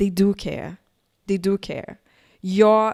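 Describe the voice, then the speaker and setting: A woman with a Brazilian Portuguese accent talks at a medium pitch and a fairly slow pace. The recording is very clean, with a silent background. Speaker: tech entrepreneur, keynote speaker. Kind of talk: keynote talk. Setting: conference.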